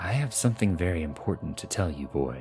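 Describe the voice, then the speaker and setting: Over clear music in the background, a man rattles off lines at a very fast pace in a put-on character voice, very deep and low, with very wide pitch swings. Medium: read story. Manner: secretive.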